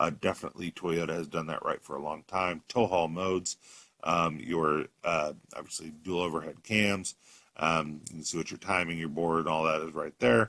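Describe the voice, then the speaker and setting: In a dry, close sound with no echo, a man speaks with a very deep, low pitch, a bright, sharp tone and fairly even intonation. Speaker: car salesman. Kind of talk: product walkthrough video. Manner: fast.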